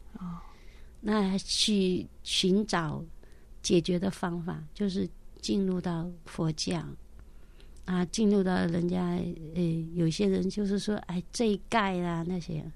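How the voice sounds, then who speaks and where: A woman speaks at a very slow pace with a fairly low pitch and fairly even intonation. Her pauses are long and frequent. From mainland China, Jiangxi Shangrao. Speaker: caregiver, widow sharing faith testimony. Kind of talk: testimony.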